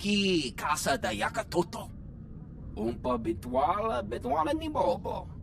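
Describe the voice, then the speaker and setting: A put-on character voice at a middle pitch, delivered at a moderate pace over loud background noise. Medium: video game.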